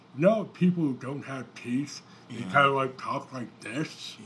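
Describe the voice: A man mumbles in a put-on character voice at a medium pitch. He keeps a moderate pace with lively intonation.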